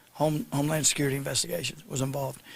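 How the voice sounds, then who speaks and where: A man with a Southern accent speaks very fast in a fairly high voice, with ordinary pitch variation. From US South, Arkansas. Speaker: state attorney general. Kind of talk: press conference. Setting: news conference.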